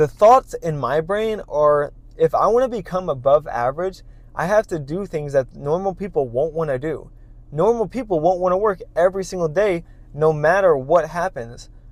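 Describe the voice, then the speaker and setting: A man speaks in a high voice at a moderate pace. His intonation is lively. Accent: American. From US Midwest, St. Louis. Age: 20s. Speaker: content creator. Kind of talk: casual sit-down vlog monologue.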